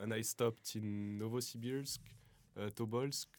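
Delivered at a very slow pace with fairly even intonation, the speech has a dry, close sound with no echo. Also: man. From French-speaking Switzerland (Lausanne area). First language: French (speaking Russian). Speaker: exchange student. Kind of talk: interview.

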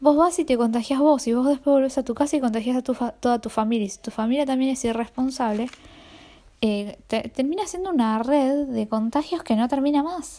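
A woman with a Rioplatense accent, high in pitch with a dark, mellow tone, on a very clean recording with a silent background. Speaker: podcaster. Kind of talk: casual monologue.

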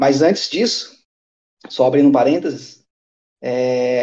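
Here a man speaks with a dark, mellow tone. His pace is moderate. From Brazil. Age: 30s. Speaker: mechanical engineer living abroad. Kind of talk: casual chat.

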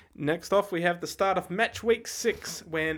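In a very clean recording with a silent background, a man speaks at a fairly slow pace in a high pitch with ordinary pitch variation. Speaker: podcast co-host. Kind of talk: casual chat.

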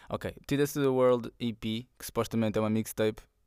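Fairly even in intonation, a man talks on a very clean recording with a silent background. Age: 20s. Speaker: rapper. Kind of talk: casual monologue. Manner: halting.

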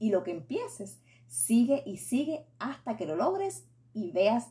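Speaking in a Puerto Rican accent is a woman. She goes at a fairly slow pace. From Puerto Rico. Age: 40s. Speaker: faith and beauty podcaster. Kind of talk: solo podcast monologue.

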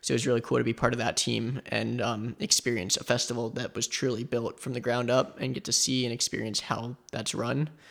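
With an American accent, the speaker talks at a fairly quick pace with hardly any pauses and fairly even intonation over noticeable background noise. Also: man, medium pitch for a man. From South Florida. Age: 20s. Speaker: photographer and psychology student. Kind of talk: interview.

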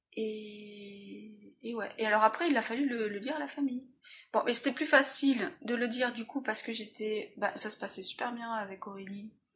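This woman talks at a moderate pace, her fairly high pitch moving with ordinary variation. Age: 40s. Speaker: illustrator. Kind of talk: personal testimony interview. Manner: halting.

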